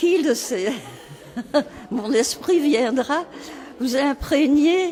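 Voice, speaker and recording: Very slow speech from a woman with lively intonation, audible room echo and music in the background. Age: 80s+. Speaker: nursing home resident. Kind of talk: casual chat.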